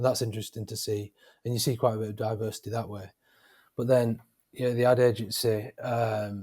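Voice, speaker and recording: A man with a northern English accent talks at a fairly quick pace in a medium pitch, his intonation monotone and flat and his voice somewhat breathy. His loudness swings widely, and the recording is very clean, with a silent background. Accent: northern English accent, noticeable. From northern England, Wigan. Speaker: freelance graphic designer. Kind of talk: interview. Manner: halting, many fillers.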